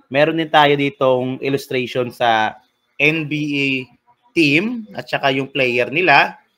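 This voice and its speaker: The man has a fairly high pitch and ordinary pitch variation. He speaks at a very slow pace. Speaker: teacher. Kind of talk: lecture. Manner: loud.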